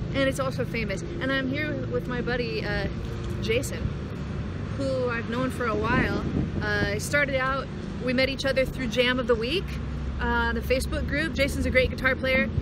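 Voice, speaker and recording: With long, frequent pauses, a woman speaks against loud background noise in a dry sound with no echo. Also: moderate pace. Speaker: musician vlogger. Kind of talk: casual vlog chat. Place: street. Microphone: phone near.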